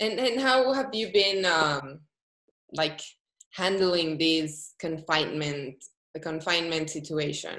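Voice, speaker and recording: With a Spanish accent, a woman speaks very slowly at a fairly low pitch, her tone bright and sharp and her intonation lively. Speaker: interviewer. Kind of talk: interview.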